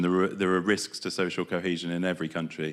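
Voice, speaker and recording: The speaker talks at a fairly quick pace with a British accent in a very clean recording with a silent background. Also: man. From Britain. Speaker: development programme representative. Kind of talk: conference presentation. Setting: conference stage with audience. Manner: hesitant with fillers.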